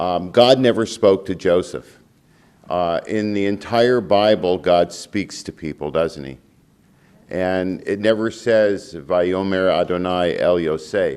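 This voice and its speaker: Speaking at a very slow pace, this man has a very deep, low voice with ordinary pitch variation. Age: 70s. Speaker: rabbi and public speaker. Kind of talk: lecture. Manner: frequent filler words (um, uh).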